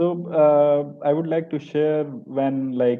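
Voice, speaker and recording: A man speaks with an Indian accent. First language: Hindi. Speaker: French teacher. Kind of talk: webinar panel discussion. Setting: live online webinar.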